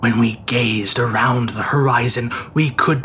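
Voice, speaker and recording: A man's solemn, dramatic voice with fairly even intonation over noticeable background noise. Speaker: audiobook narrator. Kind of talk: scripted horror story narration, read aloud in a dramatic gothic style. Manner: slow, deliberate and ominous, with dramatic pacing; hushed, building dread, solemn.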